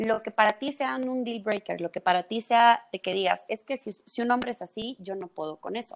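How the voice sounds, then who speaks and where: At a moderate pace and hardly pausing, a woman speaks at fairly high pitch, the sound dry and close with no echo. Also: ordinary pitch variation. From El Salvador. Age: 20s. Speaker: psychologist. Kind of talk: casual chat.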